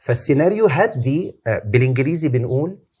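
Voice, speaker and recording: A somewhat breathy man speaks fairly slowly at medium pitch, with lively intonation. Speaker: Islamic preacher. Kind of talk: interview answer.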